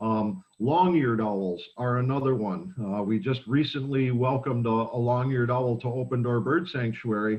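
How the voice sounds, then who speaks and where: In a plain, everyday voice, the speaker keeps a moderate pace with hardly any pauses and ordinary pitch variation. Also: man, medium pitch for a man. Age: 60s. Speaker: bird sanctuary educator. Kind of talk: educational talk.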